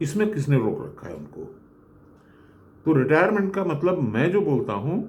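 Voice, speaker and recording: A man speaks with vocal fry and very wide pitch swings. Room echo is audible. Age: 70s. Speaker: retired engineer. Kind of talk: motivational talk.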